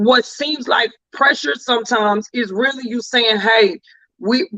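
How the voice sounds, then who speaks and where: A man speaks in an extremely high pitch with a raised, projected voice and an animated tone. His pitch variation is ordinary, and the sound is dry and close, with no echo. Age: 40s. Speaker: talk show host. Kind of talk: casual chat. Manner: fast.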